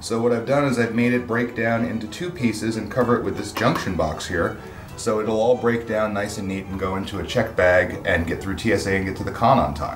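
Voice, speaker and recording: The man's fairly quick speech sits over clear music in the background. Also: ordinary pitch variation. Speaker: guest. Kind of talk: interview answer. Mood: friendly, relaxed, humorous. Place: workshop.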